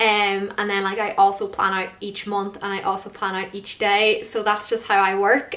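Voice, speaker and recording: Over noticeable background noise, a woman speaks at a medium pitch in a flat monotone. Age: 20s. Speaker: lifestyle vlogger. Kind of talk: casual vlog talk to camera. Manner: fast; casual, many fillers.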